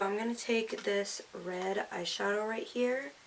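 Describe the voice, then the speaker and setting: Noticeable background noise persists while a woman talks. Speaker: beauty vlogger. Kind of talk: makeup tutorial. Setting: at home in front of camera.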